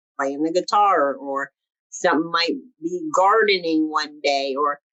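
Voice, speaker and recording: Speaking at a moderate pace, a woman uses a plain, everyday voice with a fairly low pitch. Her pitch variation is ordinary. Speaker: actress and artist. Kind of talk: interview.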